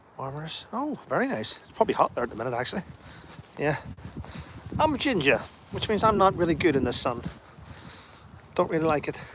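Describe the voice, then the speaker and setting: A man with a Northern Irish accent, high pitch, fairly quick pace, very wide pitch swings, big swings in loudness and long, frequent pauses. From Northern Ireland, Derry. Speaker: livestreamer, army veteran. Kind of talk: casual live-stream chat reading comments. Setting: outdoors, walking.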